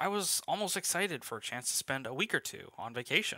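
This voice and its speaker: A man talks at a fairly quick pace with lively intonation and a bright, sharp tone. The sound is dry and close, with no echo. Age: 20s. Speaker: tailor. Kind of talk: scripted narration.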